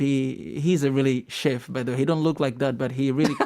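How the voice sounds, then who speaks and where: A man with an East African accent speaks at a very fast pace in a dark, mellow tone. His pitch is fairly high, and his intonation is fairly even. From Tanzania. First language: Swahili. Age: 20s. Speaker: YouTuber and singing show contestant. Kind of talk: radio interview. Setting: radio studio.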